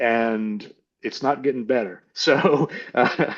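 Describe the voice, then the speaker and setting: A man at a medium pitch with ordinary pitch variation, over a quiet background. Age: 60s. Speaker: army veteran and businessman. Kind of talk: casual chat. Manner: halting, many fillers and restarts.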